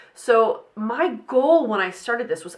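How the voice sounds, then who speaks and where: A woman is talking here. Her voice sits fairly high. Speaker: podcast host. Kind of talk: casual solo podcast talk. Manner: fast.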